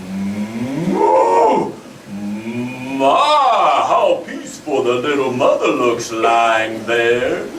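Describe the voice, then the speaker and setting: A man puts on a character voice and speaks at a very slow pace. There is clear background noise and a slight echo. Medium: stage play. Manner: slow, gentle, lowing.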